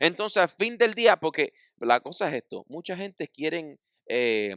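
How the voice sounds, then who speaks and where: In a very clean recording with a silent background and a dry, close sound with no echo, a man's high voice makes very wide pitch swings. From United States. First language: English (speaking Spanish). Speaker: pastor. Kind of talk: sermon.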